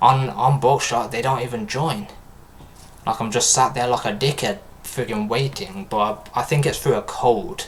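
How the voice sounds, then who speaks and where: With a British accent, a man talks at a moderate pace and a medium pitch, his pitch varying in an ordinary way. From UK. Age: 20s. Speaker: gaming streamer. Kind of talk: casual live-stream chat. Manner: animated.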